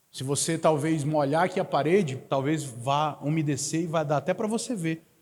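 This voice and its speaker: On a very clean recording with a silent background, a man with a northern Brazilian accent speaks at a moderate pace, with a fairly high pitch and ordinary pitch variation. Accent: northern Brazilian accent, hissing s sounds. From Manaus, Amazonas, northern Brazil. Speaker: guest preacher. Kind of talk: sermon. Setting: church service.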